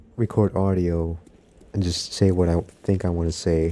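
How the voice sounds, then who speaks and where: This man's voice is very deep and low, with a dark, mellow tone. His delivery is flat and monotone at a moderate pace. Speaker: gaming commentary youtuber. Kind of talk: casual monologue over gameplay. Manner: relaxed, low energy.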